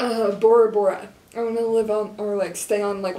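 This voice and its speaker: A woman with a Midwestern American accent and a monotone, flat intonation, over light background noise. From Kansas. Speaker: college student journalist. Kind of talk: interview. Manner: casual. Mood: cheerful, relaxed. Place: office.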